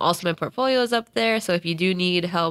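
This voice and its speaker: A woman with an ordinary speaking voice and an American accent speaks fairly quickly in a fairly low pitch with ordinary pitch variation, in a very clean recording with a silent background. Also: dry, close sound with no echo. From Northern Virginia. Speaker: social media manager. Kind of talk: casual chat.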